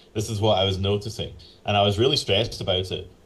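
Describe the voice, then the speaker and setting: Speaking with a Northern Irish accent, a man talks at a fairly quick pace in a somewhat breathy, fairly low voice. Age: 40s. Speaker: professional flutist and flute teacher. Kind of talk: interview conversation. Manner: casual, with fillers and restarts.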